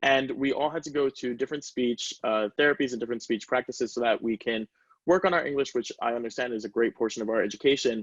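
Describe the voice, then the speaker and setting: A man speaks at a very fast pace and a medium pitch. The sound is dry and close, with no echo. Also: ordinary pitch variation. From US, Caribbean family. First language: Spanish. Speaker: student panelist. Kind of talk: panel discussion.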